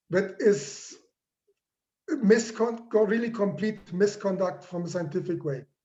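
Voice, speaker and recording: High pitch from a man, fairly slow in pace, with pitch varying in an ordinary way. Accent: non-native. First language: not English. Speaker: professor. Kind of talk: lecture.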